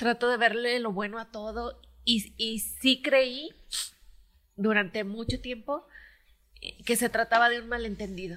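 A woman's fairly high voice at a fairly slow pace, with fairly even intonation and long, frequent pauses. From Mexico, Michoacán. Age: 40s. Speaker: footballer's wife. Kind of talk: casual family chat.

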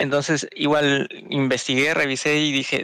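A man's fairly high-pitched voice, bright and sharp in tone, dry and close with no echo, on a very clean recording with a silent background. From Peru. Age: 20s. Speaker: podcast co-host. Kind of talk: casual chat.

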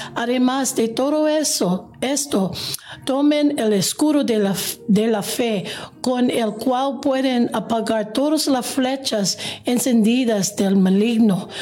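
A woman with a non-native accent speaks at a very slow pace in a high pitch, with ordinary pitch variation and very even loudness, amid audible room echo and noticeable background noise. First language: English (speaking Spanish). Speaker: pastor. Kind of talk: scripture reading. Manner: halting.

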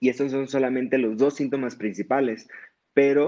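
A man's voice is heard. It holds a medium pitch. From Mexico, Sonora (Hermosillo). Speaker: psychiatry resident. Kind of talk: interview. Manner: halting.

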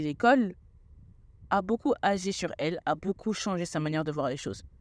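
Her intonation is lively, and this woman's pitch sits in the medium range. The recording is very clean with a silent background. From Senegalese and Guadeloupean family. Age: 20s. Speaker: podcast host, health student. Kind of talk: solo podcast monologue.

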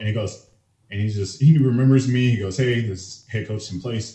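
A man speaks in a dark, mellow tone. He sounds somewhat breathy, with ordinary pitch variation. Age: 20s. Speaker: powerlifter. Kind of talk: casual chat.

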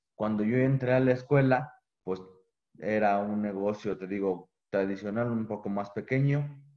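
At a fairly slow pace, a man uses an ordinary speaking voice with a fairly low pitch and ordinary pitch variation. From Mexico, Guanajuato. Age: 20s. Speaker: business student and bakery owner. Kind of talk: interview.

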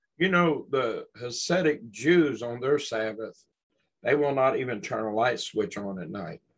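With a Southern US accent, a man speaks fairly slowly at a medium pitch, his intonation lively. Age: 60s. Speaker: podcast host. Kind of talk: casual chat.

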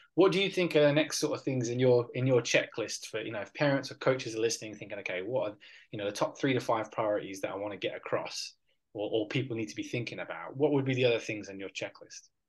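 Speaking at a very fast pace, the voice is somewhat breathy, with big swings in loudness, ordinary pitch variation and a quiet background. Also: man, medium pitch for a man. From Perth, Western Australia. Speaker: podcast host, strength and conditioning coach. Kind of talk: interview conversation.

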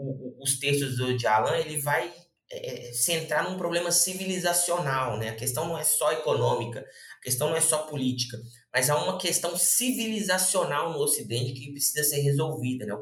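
Room echo can be heard. A man speaks at a moderate pace within it. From Brazil, Belo Horizonte (Minas Gerais). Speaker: lawyer and researcher. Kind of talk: interview explanation. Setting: podcast. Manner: halting, many fillers.

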